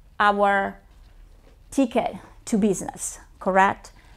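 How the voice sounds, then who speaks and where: A woman speaks with an Italian accent on a very clean recording with a silent background. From Italy. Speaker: realtor and presenter. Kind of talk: training presentation.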